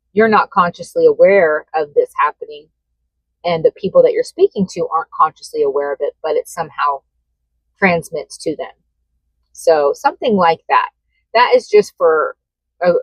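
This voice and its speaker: A woman talks at a moderate pace, recorded with a dry, close sound and no echo. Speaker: tarot reader. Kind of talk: tarot reading monologue. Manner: casual with fillers.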